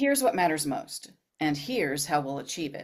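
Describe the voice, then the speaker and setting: This is a put-on character voice at a middle pitch. The pace is fairly quick. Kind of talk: firm business tone. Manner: decisive, certain, confident.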